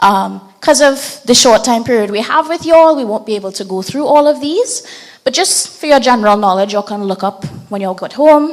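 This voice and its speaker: Against noticeable background noise, a woman talks in a high pitch with lively intonation. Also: fairly quick pace. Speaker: open source mapping trainer. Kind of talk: training workshop presentation.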